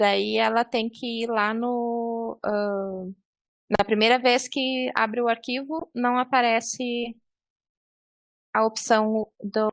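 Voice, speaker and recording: At a very slow pace, a woman with a fairly high voice and ordinary pitch variation is heard in a dry, close sound with no echo. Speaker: librarian trainer. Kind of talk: online training tutorial. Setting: video call.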